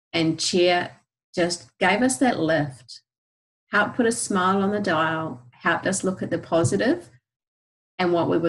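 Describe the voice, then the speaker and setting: A woman speaks at a fairly low pitch with a New Zealand accent. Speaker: essential oils educator. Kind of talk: presentation. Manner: animated.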